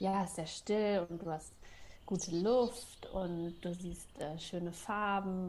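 A woman speaks in a somewhat breathy voice with fairly even intonation. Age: 30s. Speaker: freelance copywriter and forest bathing guide. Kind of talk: radio interview.

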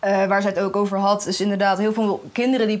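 A woman's medium-pitched voice at a fairly quick pace, over noticeable background noise. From Netherlands, The Hague. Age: young. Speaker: journalism student. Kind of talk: casual chat. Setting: festival podcast recording.

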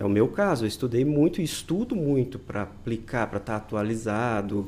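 Lively intonation and a moderate pace shape this man's speech. The tone of his voice is dark and mellow. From Brazil, interior of Paraná. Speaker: microphysiotherapy therapist and university professor. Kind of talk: interview explanation.

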